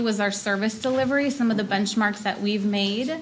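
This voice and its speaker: A woman's fairly high voice at a fairly quick pace, with audible room echo. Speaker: children's services presenter. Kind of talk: presentation at board meeting. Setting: public board meeting. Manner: loud.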